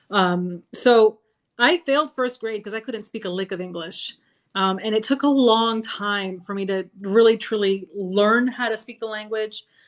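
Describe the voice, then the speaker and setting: A woman with a Spanish accent speaks at a fairly high pitch and a fairly slow pace, her loudness swinging widely. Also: ordinary pitch variation. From Florida, USA (moved there as a young child). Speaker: sci-fi author and army veteran. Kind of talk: casual interview chat. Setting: live video stream.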